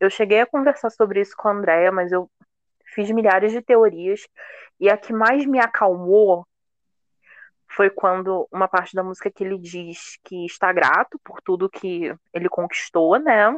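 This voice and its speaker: At a fairly slow pace, a woman uses an ordinary speaking voice at a medium pitch with ordinary pitch variation and big swings in loudness, recorded with a dry, close sound, no echo and a quiet background. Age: 20s. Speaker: fan guest. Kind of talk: casual chat.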